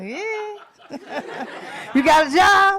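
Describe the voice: Speaking very slowly, a woman uses an extremely high pitch, lively intonation and a bright, sharp tone.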